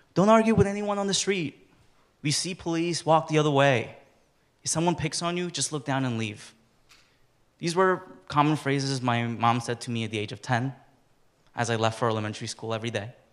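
Speaking at a fairly quick pace with long, frequent pauses, a man uses a fairly high pitch and lively intonation. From China, raised in New York. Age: 20s. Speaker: engineering graduate, DACA recipient. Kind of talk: personal storytelling. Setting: stage with audience. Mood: warm, lightly smiling. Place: hall. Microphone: handheld.

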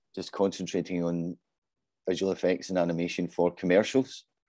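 A man's very deep, low voice with a dark, mellow tone, dry and close with no echo, over a quiet background. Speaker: creative industry executive. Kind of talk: panel discussion. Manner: hesitant, repeats words.

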